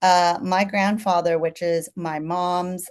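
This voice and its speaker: A woman with a Californian accent speaks in a fairly low pitch. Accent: General American (California). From San Francisco Chinatown, US West Coast. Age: 40s. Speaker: chef. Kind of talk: interview. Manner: conversational, many fillers.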